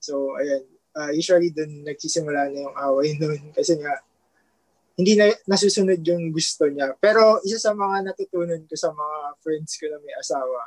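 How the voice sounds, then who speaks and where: A man talks in an ordinary speaking voice, fairly high in pitch, at a moderate pace. His pitch variation is ordinary, but his loudness swings widely. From Philippines, Taguig. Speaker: newlywed guest. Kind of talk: casual chat.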